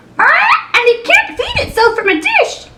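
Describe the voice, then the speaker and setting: Using a put-on character voice, a woman sounds squeaky and extremely high-pitched. Her delivery moves at a moderate pace. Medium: read story. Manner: starts lines with "ah".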